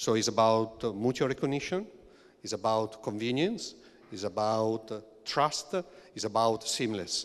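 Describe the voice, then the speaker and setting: A man with an Italian accent speaks at a medium pitch, leaving long, frequent pauses. The recording is very clean, with a silent background. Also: ordinary pitch variation, moderate pace. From Italy. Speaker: EU official leading a regulation team, engineer. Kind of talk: panel discussion. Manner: hesitant, many fillers.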